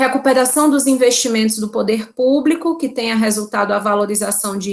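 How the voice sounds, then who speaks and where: A woman's fairly high voice, an ordinary speaking voice with ordinary pitch variation. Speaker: law professor. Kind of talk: lecture.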